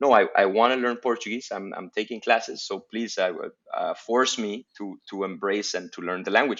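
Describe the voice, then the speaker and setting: Speaking with a Spanish accent, a man keeps a medium pitch and fairly even intonation at a moderate pace, with big swings in loudness. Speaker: guest. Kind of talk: casual chat. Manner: hesitant, many fillers and repeats.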